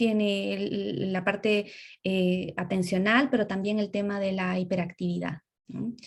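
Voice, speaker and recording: An ordinary speaking voice from a woman, medium in pitch, fairly slow, with fairly even intonation. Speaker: speech therapist lecturer. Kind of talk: lecture.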